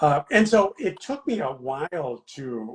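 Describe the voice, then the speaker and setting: A man talks with lively intonation and a somewhat breathy voice. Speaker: children's book author. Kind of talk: interview. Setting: video live stream. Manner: halting, many fillers.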